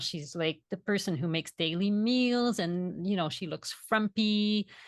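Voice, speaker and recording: The speaker has a Quebec accent. The sound is dry and close, with no echo. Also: woman, quiet background. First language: French. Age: 40s. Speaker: vegan food educator and author. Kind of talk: podcast interview.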